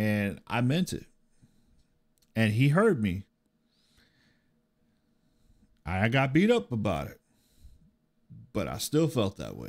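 Over a quiet background, a man talks at a very slow pace with very wide pitch swings and long, frequent pauses. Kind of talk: personal storytelling during a reaction video. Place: home room. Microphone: studio mic.

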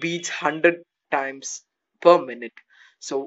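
A man's fairly even intonation comes through over a quiet background. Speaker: motivational vlogger. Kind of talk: casual motivational talk. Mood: earnest, reflective. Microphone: phone near.

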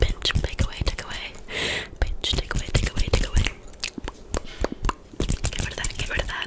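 A soft-spoken woman whispers, leaving long, frequent pauses. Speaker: ASMR creator. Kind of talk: soft ASMR guided relaxation. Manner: soft whispered trigger words. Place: home room. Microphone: studio mic.

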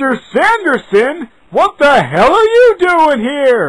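In a put-on character voice, high-pitched with very wide pitch swings, the speaker moves at a very slow pace. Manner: loud, angry.

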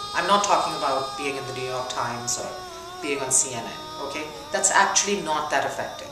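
Clear music plays in the background as a woman talks at a fairly quick pace with audible room echo. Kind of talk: interview answer. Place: home room.

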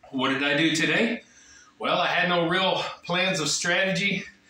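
Audible room echo surrounds a man's high-pitched voice with ordinary pitch variation. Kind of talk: casual vlog chat. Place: gym. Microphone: camera far.

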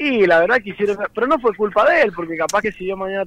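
The man speaks very fast. Ordinary variation marks his pitch. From San Juan, Argentina. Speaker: racing driver. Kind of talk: phone interview.

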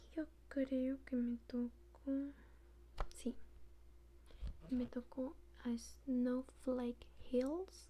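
A soft-spoken woman talks in a gentle tone. Light background noise sits under her voice. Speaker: toy unboxing vlogger. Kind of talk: casual vlog chat. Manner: soft-spoken, gentle low-volume ASMR voice. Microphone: phone near.

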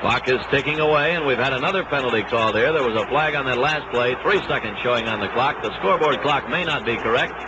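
Against noticeable background noise, a man speaks at a very fast pace with hardly any pauses and ordinary pitch variation. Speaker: radio sports announcer. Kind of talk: 1962 radio sports broadcast, live play-by-play commentary. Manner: brisk, steady, crisp play-by-play delivery; formal, authoritative 1960s broadcaster tone. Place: stadium. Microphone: old recording.

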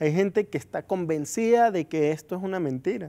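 The background is quiet as a man talks at a fairly quick pace. His intonation is lively. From Venezuela. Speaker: interview guest. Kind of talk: interview. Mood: earnest, calm. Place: studio. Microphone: lapel.

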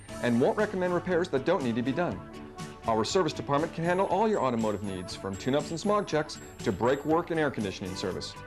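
Over music in the background, the speaker goes at a very fast pace with very wide pitch swings. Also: man. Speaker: voice actor. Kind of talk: TV commercial read.

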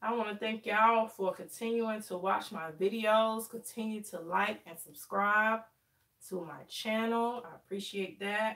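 The tone is bright and sharp, the intonation fairly even. Delivery is fairly slow, over a quiet background. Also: woman. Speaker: hair livestreamer. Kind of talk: casual live stream chat. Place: home room.

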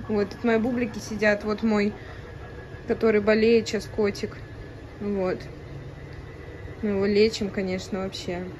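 Over noticeable background noise, a woman speaks at a moderate pace with monotone, flat intonation. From Russia, Saint Petersburg. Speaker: ASMR and mukbang vlogger. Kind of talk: casual talk to camera. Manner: chatty, relaxed. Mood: low mood, tired. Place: home room. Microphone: phone near.

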